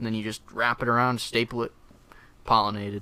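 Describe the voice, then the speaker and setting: A man with an American accent at a medium pitch, bright and sharp in tone. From Wisconsin, US Midwest. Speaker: plant researcher. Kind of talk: casual chat. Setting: studio.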